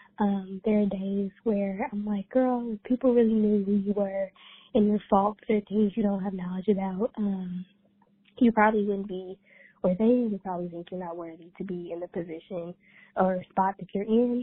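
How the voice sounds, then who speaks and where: At a moderate pace and medium pitch, a woman speaks in an ordinary speaking voice with fairly even intonation. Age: 20s. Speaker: PhD student. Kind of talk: voicemail message. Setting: phone call.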